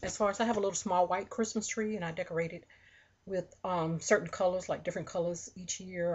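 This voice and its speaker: Against light background noise, a woman talks at a very fast pace in a fairly low pitch, somewhat breathy, with fairly even intonation. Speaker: haul vlogger. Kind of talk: casual vlog chat. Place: home room. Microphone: webcam.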